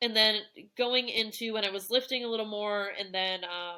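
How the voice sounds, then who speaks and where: A woman talks with a fairly high pitch and a bright, sharp tone. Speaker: coaching client sharing fitness journey. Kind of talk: podcast interview. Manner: fast; casual, many fillers.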